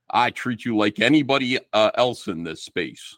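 A man in a New Jersey accent, lively in intonation, recorded dry and close with no echo. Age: 50s. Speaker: comic book artist. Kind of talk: casual chat.

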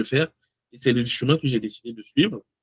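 In a plain, everyday voice, a man speaks at a fairly quick pace with fairly even intonation, the sound dry and close with no echo. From Togo. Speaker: amateur bodybuilder and content creator. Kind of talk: casual interview.

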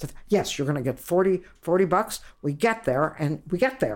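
A woman speaks in an American accent. Her intonation is lively and her pace moderate. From Ohio, US. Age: 80s+. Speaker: stand-up comedian. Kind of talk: interview. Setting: at home.

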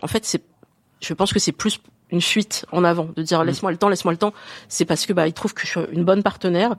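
A woman talks at a very fast pace with long, frequent pauses, at a fairly low pitch and fairly even intonation. The sound is dry and close, with no echo. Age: 40s. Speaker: woman asking a dating question. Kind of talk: casual chat.

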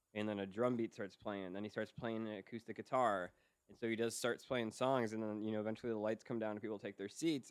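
Here is a man with a normal speaking voice at medium pitch. He talks at a fairly quick pace with fairly even intonation. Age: 30s. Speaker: podcast producer and audio engineer. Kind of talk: casual chat. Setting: video call.

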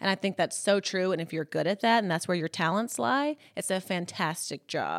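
An American accent at a moderate pace with ordinary pitch variation, in a dry, close sound with no echo and a very clean recording with a silent background. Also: woman. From US South, Columbus, Mississippi. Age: 30s. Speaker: fashion influencer. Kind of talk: casual interview.

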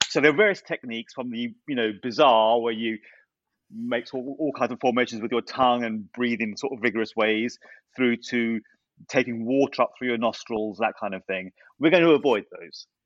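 At a moderate pace, a man speaks in a normal speaking voice, medium in pitch and with ordinary pitch variation. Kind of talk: guided breathing tutorial.

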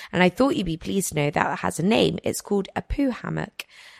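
A woman speaks with a fairly low pitch. Vocal fry runs through her voice. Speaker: podcast host. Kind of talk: casual chat.

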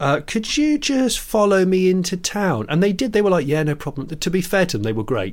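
With a British accent, a man speaks at a fairly quick pace and a high pitch, his voice swinging very widely and hardly ever pausing, on a very clean recording with a silent background. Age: 40s. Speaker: podcast co-host, TV presenter and YouTuber. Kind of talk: casual chat.

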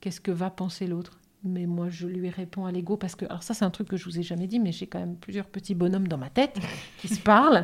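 The woman's voice is somewhat breathy. She speaks at a very fast pace. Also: medium pitch for a woman. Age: 50s. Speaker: naturopath, cancer survivor. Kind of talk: casual chat.

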